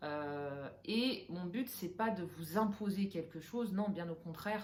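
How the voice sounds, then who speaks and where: The intonation is lively, though the words come out at a very slow pace. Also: woman. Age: 30s. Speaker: interior decorator and vlogger. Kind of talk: personal vlog talking to camera. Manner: hesitant, many filler sounds; casual, mixes English phrases.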